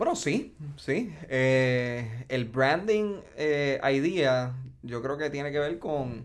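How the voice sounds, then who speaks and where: The man's medium-pitched voice shows ordinary pitch variation. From Puerto Rico, Ponce. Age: 30s. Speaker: entrepreneur, cannabis dispensary CEO. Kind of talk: interview, casual chat. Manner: halting, with fillers.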